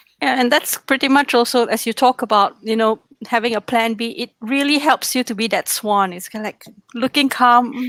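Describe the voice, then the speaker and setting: A woman with a non-native accent speaks at a high pitch and moderate pace, with ordinary pitch variation and a dry, close sound with no echo. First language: not English. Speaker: trainer. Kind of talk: interview questions.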